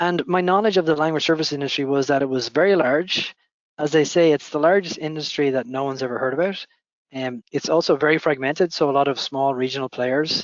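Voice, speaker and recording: Very fast speech in a Dublin accent. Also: man, fairly high pitch for a man, ordinary pitch variation. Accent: Irish (Dublin). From Ireland, Dublin. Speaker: company founder and CEO. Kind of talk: interview answers. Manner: measured with filler hesitations.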